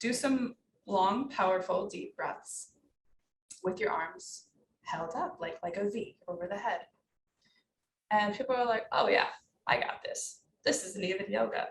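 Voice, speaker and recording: A woman speaks in a calm tone at a moderate pace. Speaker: naturopathic doctor and yoga teacher. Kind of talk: interview.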